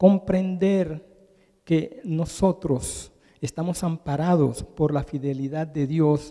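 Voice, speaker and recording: Speaking at a very slow pace, a man has a fairly high pitch and a dark, mellow tone. His pitch variation is ordinary. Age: 70s. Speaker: preacher. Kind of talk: sermon.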